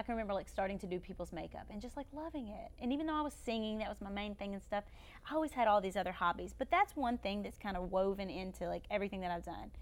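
Talking at a very fast pace, a woman with a Kentucky accent sounds animated, her medium-pitched voice carrying lively intonation. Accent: Southern US (Kentucky). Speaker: YouTuber and former beauty queen. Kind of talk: casual chat.

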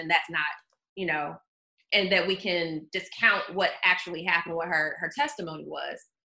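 At a moderate pace, a woman with an American accent uses a normal speaking voice, medium pitch and fairly even intonation. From US South, Georgia (outside Atlanta). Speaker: journalist. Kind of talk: casual chat.

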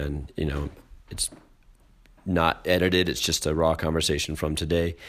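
A man talking at a fairly quick pace. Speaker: podcast host. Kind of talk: casual conversation.

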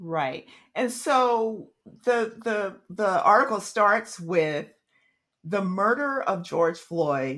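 The speaker talks at a very slow pace with very wide pitch swings. The recording is very clean, with a silent background. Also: woman. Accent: American. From Oklahoma. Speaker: podcast host. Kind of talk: interview.

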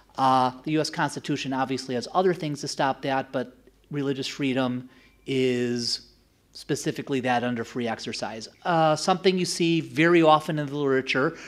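A man with an American accent, a plain, everyday voice at medium pitch with ordinary pitch variation, fairly quick in pace, on a very clean recording with a silent background. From United States. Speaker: political science professor. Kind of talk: academic lecture.

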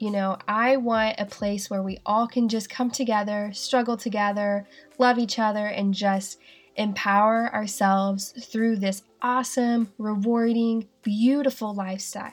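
A woman with a slight Southern US accent speaks fairly slowly in a monotone, flat delivery at a fairly high pitch, in a very clean recording with a silent background. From Asheville, North Carolina. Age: 20s. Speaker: podcast host. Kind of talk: solo podcast monologue, casual.

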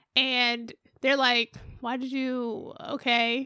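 A woman speaks at a high pitch in a raised, projected voice with a bright, sharp tone. The recording is very clean, with a silent background. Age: 30s. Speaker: podcast guest. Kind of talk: casual chat.

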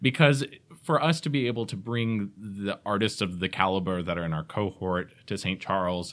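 On a very clean recording with a silent background, a man with an unremarkable speaking voice and fairly low pitch talks at a moderate pace using lively intonation. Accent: American. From Georgia, US (Atlanta area). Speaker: theater managing director. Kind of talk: casual interview. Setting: studio.

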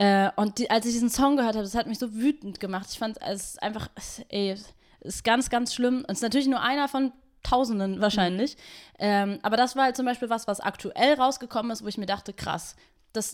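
A woman speaks in a plain, everyday voice at a fairly quick pace, her fairly high pitch moving with ordinary variation over a very clean recording with a silent background. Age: 20s. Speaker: activist and DJ. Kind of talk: casual chat. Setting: host's kitchen.

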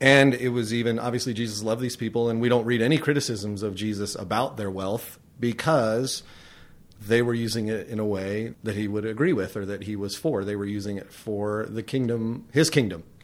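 A man talks at a fairly quick pace in a Californian accent. His medium pitch varies in an ordinary way. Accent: Californian American. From California (Tehachapi). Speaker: pastor. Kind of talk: interview.

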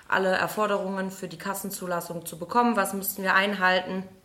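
A woman talks at a moderate pace with a medium pitch and fairly even intonation. Noticeable background noise is present. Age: 30s. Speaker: physiotherapist and practice owner. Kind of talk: interview. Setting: in person at a fitness studio.

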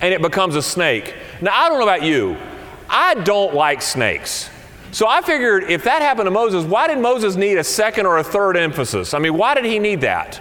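Over noticeable background noise and audible room echo, a man with an American accent speaks fairly quickly in a high voice, with very wide pitch swings and very even loudness. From US South. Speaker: senior minister. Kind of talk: sermon.

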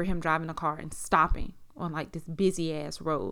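With an American accent, a woman talks in a plain, everyday voice at a fairly low pitch, with a fairly quick pace and fairly even intonation. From South Carolina, US. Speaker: podcast host. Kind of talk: personal testimony. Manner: casual, many fillers.

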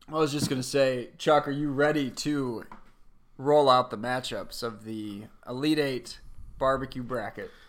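Speaking at a fairly slow pace with fairly even intonation, a man with an American accent has an ordinary speaking voice at a medium pitch. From Michigan, US Midwest. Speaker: podcast co-host. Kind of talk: casual chat.

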